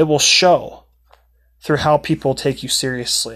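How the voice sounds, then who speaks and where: A man with an unremarkable speaking voice and a fairly high pitch talks at a moderate pace over a quiet background. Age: 20s. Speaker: podcast host, aspiring motivational speaker. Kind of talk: casual monologue; closing testimony.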